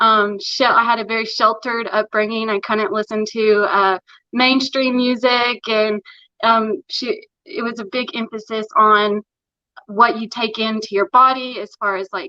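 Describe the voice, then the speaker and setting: Her bright, sharp voice sits at a fairly high pitch as the woman talks at a fairly slow pace with fairly even intonation, recorded dry and close with no echo. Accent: strong Appalachian. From Tennessee, Morristown near Knoxville. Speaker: interview guest. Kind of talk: casual interview chat.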